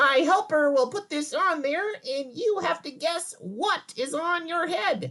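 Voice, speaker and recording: At a fairly slow pace, the voice is a put-on character voice. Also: man, extremely high pitch for a man. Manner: silly, playful.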